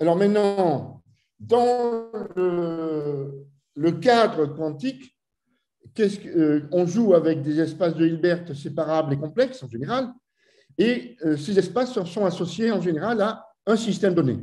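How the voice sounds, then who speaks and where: A man with a high pitch and a dark, mellow tone, at a very slow pace with long, frequent pauses and lively intonation, over a quiet background. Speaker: physics professor. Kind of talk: lecture. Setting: video call. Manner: halting. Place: home room. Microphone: webcam.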